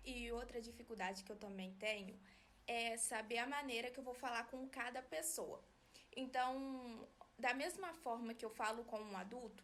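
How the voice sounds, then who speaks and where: A soft-spoken woman talks at a fairly high pitch. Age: 20s. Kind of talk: personal explainer video. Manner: flat, little modulation.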